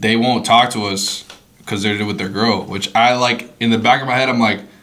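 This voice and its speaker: Monotone, flat intonation from a man at medium pitch and a moderate pace, with noticeable background noise. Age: young. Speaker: podcast co-host. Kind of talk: casual chat.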